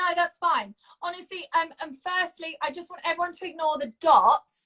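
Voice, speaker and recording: A woman uses a raised, projected voice with an extremely high pitch and a bright, sharp tone. She keeps a moderate pace, with ordinary pitch variation and big swings in loudness. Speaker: co-host of online talk show. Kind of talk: casual chat. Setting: Instagram live video at home. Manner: animated.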